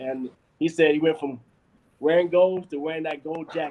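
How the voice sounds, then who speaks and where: A man with an American accent speaks in a passionate tone. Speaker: web series producer and host. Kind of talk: live stream talk. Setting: live stream. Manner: fast.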